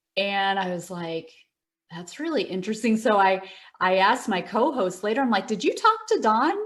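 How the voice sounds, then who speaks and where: A woman with an American accent speaks at a medium pitch. Her pace is moderate and her pitch varies in an ordinary way. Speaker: meditation teacher. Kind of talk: interview. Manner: hesitant, many fillers.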